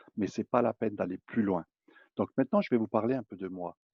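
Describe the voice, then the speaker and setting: A man's fairly low voice, recorded dry and close with no echo. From eastern France. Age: 50s. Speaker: network marketing presenter. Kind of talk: sales pitch. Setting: public online presentation.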